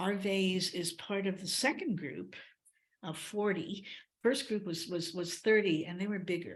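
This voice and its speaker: With audible room echo, a woman speaks somewhat breathily at a fairly slow pace, medium in pitch with ordinary pitch variation. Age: 80s+. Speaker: ceremony organizer. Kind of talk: presentation to a group. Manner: halting.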